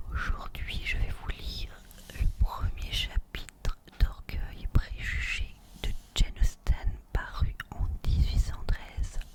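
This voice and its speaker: Someone whispers at a very slow pace with noticeable background noise behind them. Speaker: ASMR reader. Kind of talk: whispered audiobook reading. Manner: whispered.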